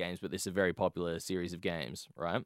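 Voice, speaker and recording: A man is speaking. He has an Australian accent. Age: 20s. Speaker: podcast host. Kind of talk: casual chat.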